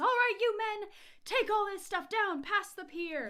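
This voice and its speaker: A woman puts on a character voice, pitched extremely high and kept to a moderate pace. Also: ordinary pitch variation. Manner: authoritative, trying to impress.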